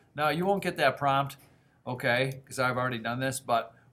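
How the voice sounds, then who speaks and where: His voice sits fairly high for a man, with ordinary pitch variation. The man talks at a fairly quick pace. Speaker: middle school teacher. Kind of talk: tutorial. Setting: screencast recording. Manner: fast.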